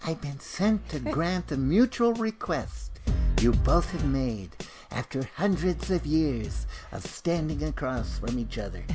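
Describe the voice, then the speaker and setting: In a put-on character voice, someone speaks softly at a fairly slow pace. Clear music plays in the background. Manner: sweet, soft.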